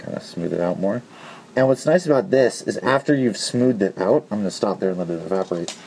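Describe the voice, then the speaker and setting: A man speaks at a very fast pace and a medium pitch, his voice making very wide pitch swings over noticeable background noise. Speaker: hobbyist modder, video tutorial maker. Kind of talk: tutorial. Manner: casual with frequent fillers.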